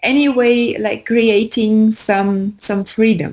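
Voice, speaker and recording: With a non-native accent, a woman of fairly high pitch talks at a very slow pace in a very clean recording with a silent background. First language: not English. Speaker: spiritual teacher. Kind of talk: casual chat. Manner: halting.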